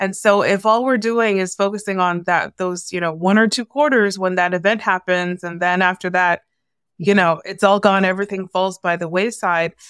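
A woman with a normal speaking voice at a medium pitch and a Canadian accent, moderate pace and fairly even intonation, on a very clean recording with a silent background and a dry, close sound with no echo. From Canada, Toronto. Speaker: former journalist, media consultant. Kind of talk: interview conversation.

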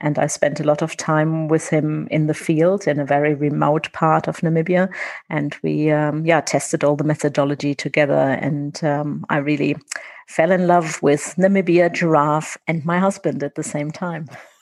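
The speaker has a German accent and a monotone, flat intonation. The pace is moderate, and the background is quiet. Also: woman, very deep, low pitch for a woman. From Germany. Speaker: conservation director. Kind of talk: interview. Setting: remote call.

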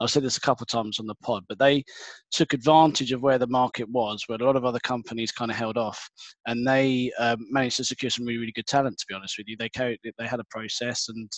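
Very fast and in a monotone, flat intonation, a man speaks in a dry, close recording with no echo. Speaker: podcast host and recruiter. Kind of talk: casual interview chat. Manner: friendly, conversational.

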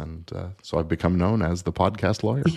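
Vocal fry runs through this man's fairly quick delivery. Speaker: entertainment lawyer and podcaster. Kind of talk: casual interview.

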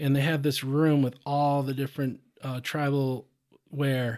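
Recorded very cleanly with a silent background, a man with a plain, everyday voice speaks at a moderate pace and a fairly high pitch. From US Midwest, southeast Minnesota. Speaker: fishing guide and conservation nonprofit director. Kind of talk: podcast interview. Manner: casual, frequent fillers and repetitions.

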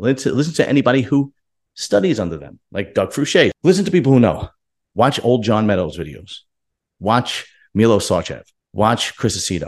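An animated tone with vocal fry and very wide pitch swings, at a moderate pace over a quiet background. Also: man, medium pitch for a man. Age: 40s. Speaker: bodybuilding YouTuber. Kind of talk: casual commentary monologue.

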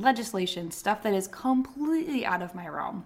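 A woman talks at a fairly quick pace with lively intonation in an ordinary speaking voice. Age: 30s. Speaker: nurse and nursing podcast host. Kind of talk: casual solo podcast talk. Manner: conversational.

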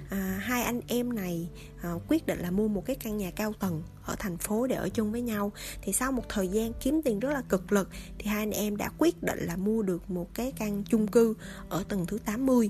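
Somewhat breathy and dark, mellow in tone, a woman speaks at a moderate pace in a medium pitch with ordinary pitch variation. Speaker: podcast host. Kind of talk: storytelling monologue. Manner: casual, many fillers.

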